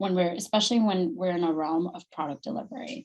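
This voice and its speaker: At a fairly quick pace, a woman speaks with a medium pitch in a normal speaking voice. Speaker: Salesforce consultant and company founder. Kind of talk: presentation on video call.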